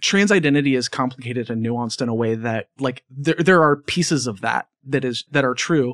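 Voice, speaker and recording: An unremarkable speaking voice moves at a fairly quick pace with hardly any pauses and ordinary pitch variation, recorded dry and close with no echo against a quiet background. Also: man, medium pitch for a man. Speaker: podcast host and audio producer. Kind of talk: interview conversation.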